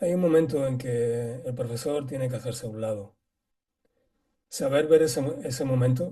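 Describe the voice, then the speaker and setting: The voice is somewhat breathy and dark and mellow in tone, moving at a moderate pace with ordinary pitch variation. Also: man. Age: 60s. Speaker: qigong teacher. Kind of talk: casual chat.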